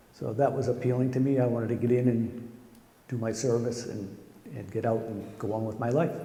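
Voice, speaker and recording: Amid noticeable background noise and audible room echo, a man speaks fairly quickly at a medium pitch with flat, monotone intonation. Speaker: marine veteran. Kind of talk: recorded interview testimony.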